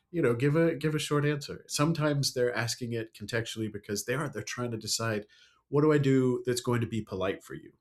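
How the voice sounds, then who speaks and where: A man with an American accent rattles along at a very fast pace, with medium pitch and ordinary pitch variation. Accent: learned American accent, natively British. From UK. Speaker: storyteller and speaker. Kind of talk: podcast interview.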